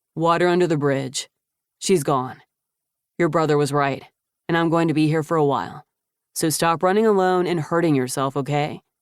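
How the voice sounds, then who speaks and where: A gruff put-on character voice at a middle pitch and a moderate pace. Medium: read story. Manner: curt, gruff.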